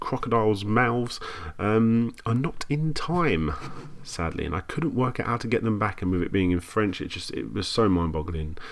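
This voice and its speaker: A man at a moderate pace with very wide pitch swings, over noticeable background noise. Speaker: YouTuber making retro gaming videos. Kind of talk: casual commentary on own old video.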